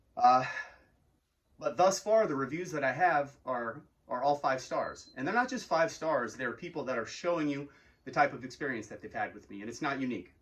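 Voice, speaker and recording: An ordinary speaking voice at a fairly quick pace, with lively intonation. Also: man. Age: 40s. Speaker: arcade game business owner. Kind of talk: business owner talking to camera about customer service. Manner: casual, conversational with filler words.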